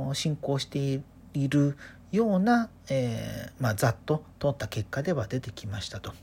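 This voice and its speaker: A woman speaks in a dark, mellow, somewhat breathy tone with very wide pitch swings. Her pace is moderate, and the recording is very clean with a silent background. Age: 30s. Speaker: podcaster. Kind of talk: solo casual monologue. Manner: relaxed, chatty.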